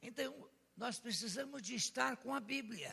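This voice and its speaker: A man speaks in a raised, projected voice at an extremely high pitch. His delivery is very slow, with lively intonation and a bright, sharp tone. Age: 80s+. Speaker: pastor. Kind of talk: sermon.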